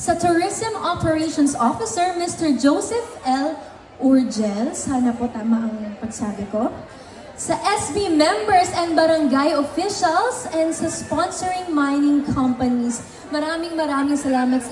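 At a fairly slow pace, a woman speaks with a high pitch and lively intonation. Audible room echo and light background noise accompany her. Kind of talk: stage thank-you speech. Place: stage.

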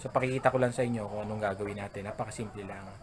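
A man's voice, fairly low in pitch. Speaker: gamefowl breeder vlogger. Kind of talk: tutorial. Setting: outdoors at a poultry pen. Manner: halting, many fillers.

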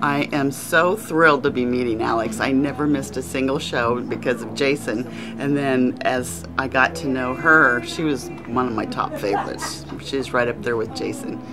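A woman's very deep, low voice with lively intonation and hardly any pauses over clear background music. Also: moderate pace. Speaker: fan of the show and of Jason and Alex. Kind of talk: interview answer. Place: shop.

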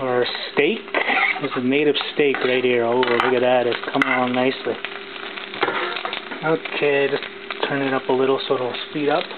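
Clear background noise sits behind a man with a medium pitch. He talks at a moderate pace with little pitch movement.

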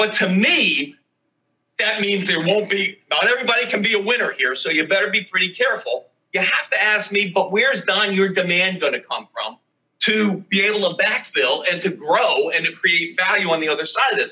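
A man's raised, projected voice at a fairly quick pace, with ordinary pitch variation. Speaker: remote guest. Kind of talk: interview answer. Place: home room. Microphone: video call.

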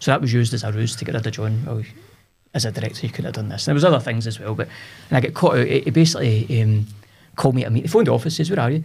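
A man talks very fast with a Scottish central belt accent and lively intonation. Vocal fry runs through his voice. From Scotland, Cumbernauld; Scotland. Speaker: business owner, entrepreneur; podcast guest. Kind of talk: casual interview chat. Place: studio. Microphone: studio mic.

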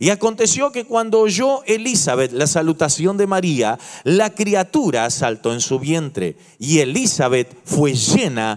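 A man at a fairly slow pace, the background quiet. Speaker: pastor. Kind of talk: sermon. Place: church. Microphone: handheld.

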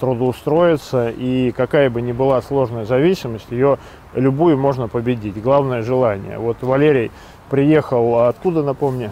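Recorded dry with no echo and light background noise, a man speaks at a fairly slow pace with fairly even intonation. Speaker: host of drug rehabilitation social project. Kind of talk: project introduction to camera. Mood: earnest, encouraging. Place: forest. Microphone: lapel.

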